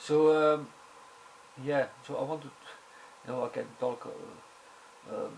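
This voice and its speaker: Noticeable background noise is present. Over it, a man talks at a fairly slow pace. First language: not English. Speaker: video blogger. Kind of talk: casual monologue. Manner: halting, many fillers.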